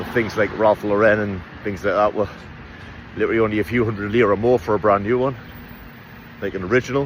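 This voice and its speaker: Talking at a very fast pace with long, frequent pauses, a man keeps a fairly low pitch and fairly even intonation. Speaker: travel vlogger. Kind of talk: casual vlog narration. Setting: outdoors. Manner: casual, chatty.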